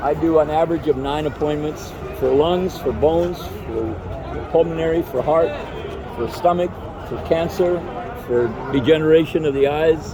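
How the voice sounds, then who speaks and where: Speaking at a moderate pace with long, frequent pauses, a man with a fairly high pitch and fairly even intonation is heard over noticeable background noise and audible room echo. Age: 80s+. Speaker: Vietnam war veteran. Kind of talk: casual interview.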